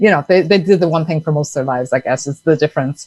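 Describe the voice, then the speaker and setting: Speaking with an Irish accent, a woman has a very deep, low pitch in a dry, close sound with no echo. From Ireland. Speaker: entrepreneur, sponsorship consultant. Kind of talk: podcast interview. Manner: casual, conversational.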